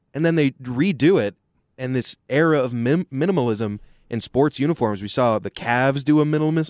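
A man's normal speaking voice, medium in pitch, with lively intonation and a moderate pace, in a dry, close sound with no echo over a quiet background. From Texas, Austin. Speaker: sports commentator. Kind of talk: casual sports talk.

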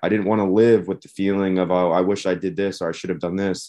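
A man talks at a fairly quick pace with an American accent and a fairly low pitch. It is a normal speaking voice over a quiet background. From US Northeast, Philadelphia area. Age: 20s. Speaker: van-life traveler. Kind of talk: casual chat.

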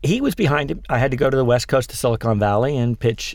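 Speaking at a very fast pace with an American accent, a man uses ordinary pitch variation. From western Pennsylvania. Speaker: tech company founder and CEO. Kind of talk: interview.

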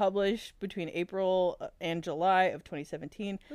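Speaking at a fairly quick pace, a woman has a plain, everyday voice at a medium pitch. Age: 20s. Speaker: podcast co-host. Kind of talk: casual chat, retelling a fanfiction story.

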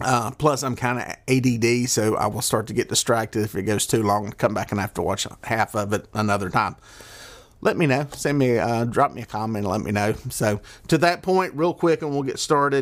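A man talks in a Southern US accent at a moderate pace. He has a medium pitch with ordinary pitch variation. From US South. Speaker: fishing podcaster and charter guide. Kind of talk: solo podcast monologue. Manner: casual, rambling.

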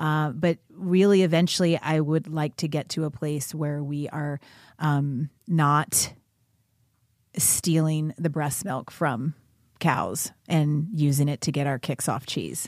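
In a very clean recording with a silent background, a woman with an American accent speaks at a very slow pace in a very deep, low pitch. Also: fairly even intonation. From US South, Kentucky. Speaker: former Olympic cyclist and advocate. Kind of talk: interview.

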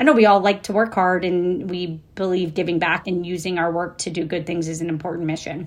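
An ordinary speaking voice with an American accent moves at a fairly quick pace, its intonation fairly even. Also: woman, fairly low pitch for a woman. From Florida, US South. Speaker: entrepreneur and investor. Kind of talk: interview.

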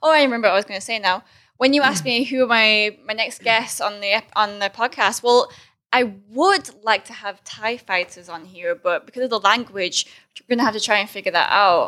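A woman with an American accent talks at a fairly quick pace, her fairly high pitch showing ordinary variation. Her tone is bright and sharp, and the recording is very clean with a silent background. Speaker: podcast host, Muay Thai fighter. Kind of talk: casual chat.

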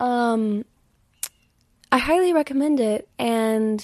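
Against a quiet background, a woman with an American accent speaks at a high pitch in a dark, mellow tone with ordinary pitch variation. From US South. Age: 20s. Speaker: podcast host, spiritual reader. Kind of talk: solo podcast monologue. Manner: casual, frequent fillers.

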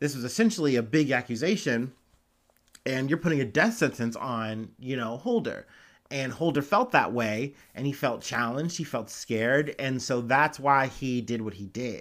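This very clean recording with a silent background features a man with an Ohio accent. He speaks at a moderate pace and a medium pitch. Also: ordinary pitch variation. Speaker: news podcast host. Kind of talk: casual news commentary. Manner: casual, many fillers.

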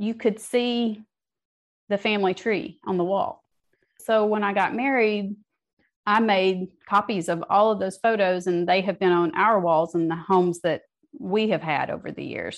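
A woman with an American accent, an ordinary speaking voice, medium pitch, ordinary pitch variation and a moderate pace. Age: 50s. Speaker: novelist. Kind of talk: interview.

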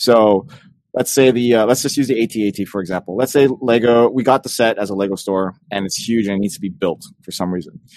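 A man with a normal speaking voice at medium pitch, at a fairly quick pace with ordinary pitch variation. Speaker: podcast co-host. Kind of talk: casual chat.

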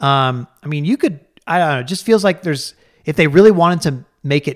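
This is a normal speaking voice with ordinary pitch variation, moving at a moderate pace. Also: man. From Colorado. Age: 40s. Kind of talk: casual chat.

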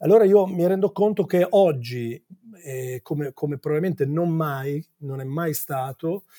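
A man's somewhat breathy voice has a dark, mellow tone and ordinary pitch variation, recorded dry and close with no echo. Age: 50s. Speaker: advertising executive and singer-songwriter. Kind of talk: interview. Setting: office. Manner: halting.

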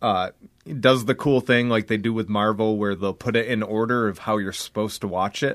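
A man with a plain, everyday voice and fairly low pitch talks at a moderate pace. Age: 20s. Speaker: wrestler. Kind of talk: casual chat.

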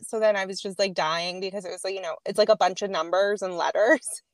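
At a moderate pace, the speaker talks with a slight Boston accent in a very clean recording with a silent background and a dry, close sound with no echo. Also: woman. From Boston area (Needham). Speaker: artist. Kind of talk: casual chat.

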